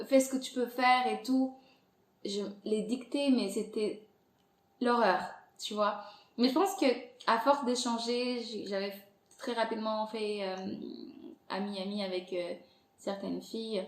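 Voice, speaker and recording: A woman speaks at a very slow pace with long, frequent pauses, her fairly high pitch showing ordinary variation. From Angola. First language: Portuguese (speaking French). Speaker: podcast creator. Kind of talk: interview conversation. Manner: hesitant, many fillers.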